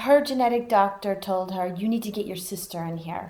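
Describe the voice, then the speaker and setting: Delivered at a moderate pace with fairly even intonation, this is an unremarkable speaking voice. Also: woman. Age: 30s. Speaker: breast cancer survivor. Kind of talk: interview answer.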